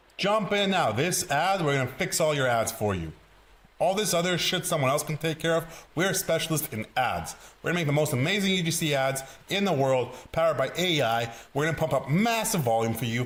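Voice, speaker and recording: Speaking with an Eastern European accent, a man uses a fairly high pitch, an animated tone and lively intonation at a fairly quick pace, his loudness staying very even. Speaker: sales coach. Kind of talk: tutorial.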